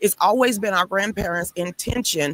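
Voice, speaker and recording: Noticeable background noise sits behind a woman who speaks with ordinary pitch variation in a dry, close sound with no echo. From US South. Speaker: guest fighting to keep family land. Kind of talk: talk show interview.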